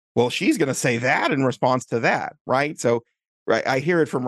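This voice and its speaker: This is an unremarkable speaking voice at a moderate pace. The sound is dry and close, with no echo. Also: man. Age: 40s. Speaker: software developer and author tools founder. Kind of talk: interview.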